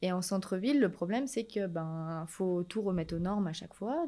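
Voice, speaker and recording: With a dark, mellow tone, a woman speaks at a moderate pace and with ordinary pitch variation over a quiet background. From France, Rhône-Alpes (Villefontaine, Annemasse); Rhône-Alpes. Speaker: shop owner, entrepreneur; interview guest. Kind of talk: interview. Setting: in her shop. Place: shop. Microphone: studio mic.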